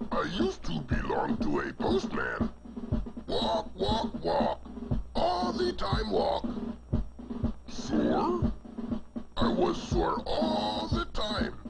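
A man in a put-on character voice speaks at a very slow pace with long, frequent pauses over loud background noise. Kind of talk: children's TV comic acting. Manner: grumbling, complaining.

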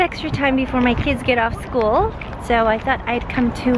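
Over noticeable background noise, a woman talks at a moderate pace and a high pitch with fairly even intonation, the sound dry with no echo. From Canada. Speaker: YouTuber and TV host. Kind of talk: casual vlog talk to camera. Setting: outdoors walking in the city.

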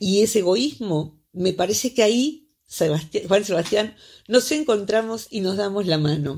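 In an ordinary speaking voice, a woman of medium pitch talks at a fairly slow pace with lively intonation. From Argentina. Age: 60s. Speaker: psychologist; psychologist radio columnist. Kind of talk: radio interview. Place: studio.

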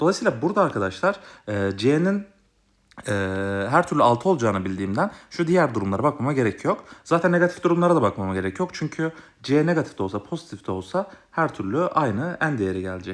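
A man with a fairly high pitch and vocal fry races at a very fast pace through very wide pitch swings. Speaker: math tutor. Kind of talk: tutorial.

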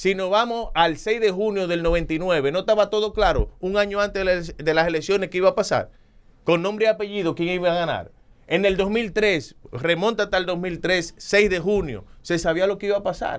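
Against a quiet background, a man with a high-pitched voice talks at a moderate pace with fairly even intonation. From Dominican Republic. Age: 40s. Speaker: politician. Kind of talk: interview. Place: studio. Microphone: studio mic.

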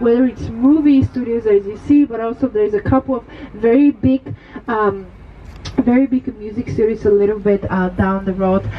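Against noticeable background noise, a woman with a fairly high pitch and ordinary pitch variation speaks at a moderate pace. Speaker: tour guide. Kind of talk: guided bus tour commentary, scripted-style patter with celebrity gossip. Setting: open-top tour bus. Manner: upbeat, animated, chatty showman delivery.

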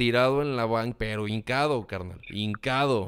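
A man with a Mexican accent speaks with fairly even intonation. The background is quiet. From Mexico. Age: 30s. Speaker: communication consultant and content creator; content creator. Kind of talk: interview. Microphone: studio mic.

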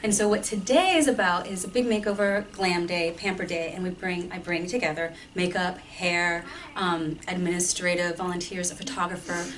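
A woman with a normal speaking voice talks at a moderate pace with a fairly low pitch and fairly even intonation. Light background noise can be heard. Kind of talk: interview answer. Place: empty room. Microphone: camera far.

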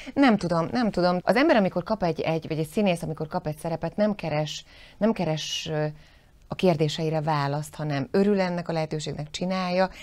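A woman's voice, fairly low in pitch, shows ordinary pitch variation. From southern Slovakia, Zselíz (Želiezovce), Hungarian minority; southern Slovakia. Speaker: actress. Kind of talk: interview. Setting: studio. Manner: halting, many repeated words. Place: studio.

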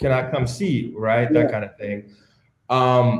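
A man's somewhat breathy voice at a medium pitch comes through with audible room echo. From Calgary, western Canada; Alberta, Canada. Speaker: entertainment lawyer. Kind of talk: panel interview. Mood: relaxed, reflective. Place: home room. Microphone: video call.

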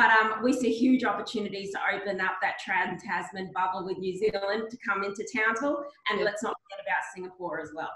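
Speaking at a fairly quick pace with hardly any pauses, a woman with an Australian accent has a medium pitch and ordinary pitch variation, with audible room echo around her. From Mount Isa, outback Queensland; Queensland. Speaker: regional economic development executive; panelist. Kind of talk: webinar panel discussion. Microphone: video call.

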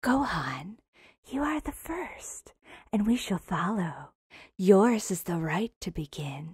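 A female-sounding voice at medium pitch does a put-on character voice at a fairly slow pace. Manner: coquettish, mocking, teasing.

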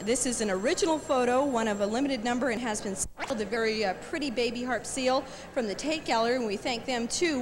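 Over noticeable background noise, a woman with an American accent speaks very fast at a high pitch with ordinary pitch variation. Her tone is upbeat. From United States. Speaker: radio DJ. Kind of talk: TV fundraiser auction presentation. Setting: television studio. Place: studio. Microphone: handheld.

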